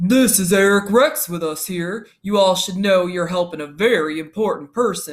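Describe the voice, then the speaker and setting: This man uses a put-on, growling character voice pitched high for a man. He talks at a moderate pace with ordinary pitch variation and hardly any pauses. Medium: read story.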